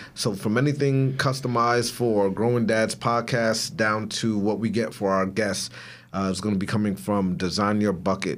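In an unremarkable speaking voice, a man talks at a moderate pace with very even loudness. His pitch is fairly low and varies in an ordinary way. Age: 30s. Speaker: podcast co-host. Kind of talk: casual chat.

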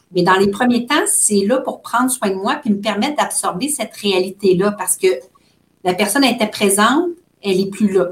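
In a somewhat breathy voice, a woman speaks at a moderate pace. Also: medium pitch for a woman, ordinary pitch variation. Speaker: social worker specializing in grief. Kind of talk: interview conversation.

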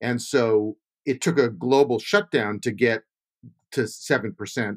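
A man with an ordinary speaking voice talks at medium pitch with ordinary pitch variation, in a very clean recording with a silent background and a dry, close sound with no echo. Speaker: podcast host and interviewer. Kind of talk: interview.

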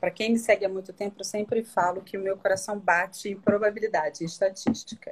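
A somewhat breathy woman talks very fast at medium pitch, with hardly any pauses and fairly even intonation. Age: 40s. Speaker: image consultant. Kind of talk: live-stream interview.

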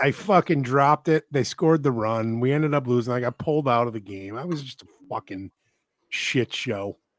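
A man with a normal speaking voice and medium pitch speaks at a fairly quick pace, with ordinary pitch variation and big swings in loudness. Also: dry, close sound with no echo, very clean recording, silent background. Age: 40s. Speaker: podcast co-host. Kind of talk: casual chat.

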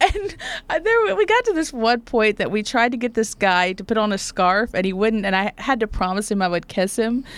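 With an Oklahoma accent, a woman speaks at a moderate pace in a fairly high pitch and an animated tone. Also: ordinary pitch variation. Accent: Oklahoman Southern US. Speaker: actor and talk show host. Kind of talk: casual interview chat. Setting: studio. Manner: animated, laughs often.

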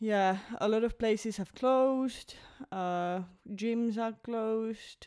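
A woman's fairly high, dark and mellow voice, very slow and fairly even in intonation, on a very clean recording with a silent background. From Finland. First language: Finnish. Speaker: podcast co-host. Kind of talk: casual chat.

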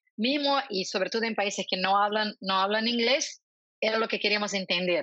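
Her medium pitch and ordinary pitch variation carry this woman's speech along at a moderate pace. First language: Portuguese (speaking Spanish). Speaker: marketing executive. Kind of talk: interview.

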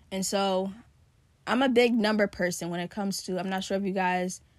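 Heard on a very clean recording with a silent background, a woman with an unremarkable speaking voice talks at a moderate pace and medium pitch, her intonation fairly even. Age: 20s. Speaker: podcast host; college student about to graduate. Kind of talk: casual solo monologue. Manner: conversational with many fillers.

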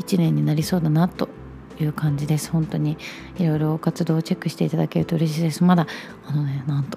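A woman's very deep, low voice at a fairly quick pace, with noticeable background noise. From Japan, Chugoku region (Shimane/Okayama). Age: 20s. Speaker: podcast host. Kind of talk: solo casual monologue.

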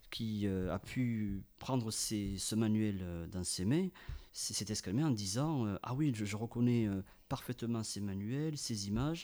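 A man speaks at a medium pitch with a dark, mellow tone. His intonation is lively and his pace very slow. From France, Ariège. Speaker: radio panel columnist. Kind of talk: storytelling chronicle.

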